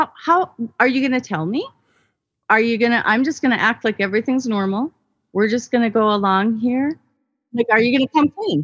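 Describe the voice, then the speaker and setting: Lively intonation colors a woman's fairly high voice as she speaks at a fairly quick pace, leaving long, frequent pauses. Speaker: guest seeking relationship advice. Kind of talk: personal testimony.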